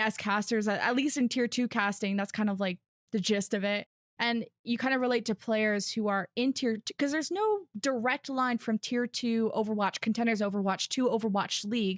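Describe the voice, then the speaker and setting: With a dry, close sound and no echo, a woman speaks at a moderate pace in a fairly high pitch, her loudness very even, an unremarkable speaking voice with ordinary pitch variation. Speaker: Overwatch tier-two play-by-play commentator. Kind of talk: podcast interview answer, conversational.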